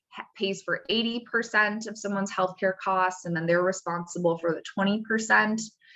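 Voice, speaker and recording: A woman's bright, sharp tone at medium pitch, with ordinary pitch variation. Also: hardly any pauses. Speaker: staff attorney presenting a webinar. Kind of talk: webinar presentation. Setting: working from home on a video call. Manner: fast.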